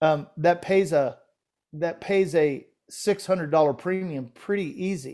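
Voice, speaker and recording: A man talks in a normal speaking voice at a fairly high pitch with ordinary pitch variation. The recording is very clean with a silent background. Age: 60s. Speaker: financial podcast co-host. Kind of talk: casual discussion of financial illustrations.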